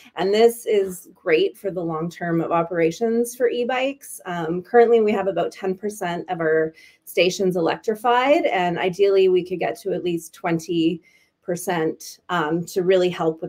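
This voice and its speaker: With a Canadian accent, a woman in an unremarkable speaking voice talks at a moderate pace, her fairly low pitch showing ordinary pitch variation. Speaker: bike share executive. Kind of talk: webinar presentation.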